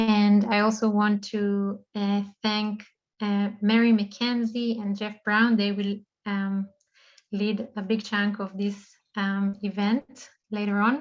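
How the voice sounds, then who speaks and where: A woman with a non-native accent speaks at medium pitch. Her pace is very slow and her intonation flat and monotone. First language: not English. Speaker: online event host. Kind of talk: event opening remarks. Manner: halting, many fillers.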